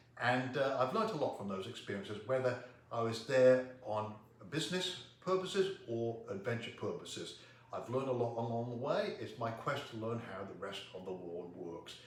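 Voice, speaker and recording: A man with an American accent, his loudness swinging widely, amid noticeable background noise and audible room echo. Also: medium pitch for a man, lively intonation, moderate pace. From England, Coventry. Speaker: public speaker. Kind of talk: self-introduction to camera.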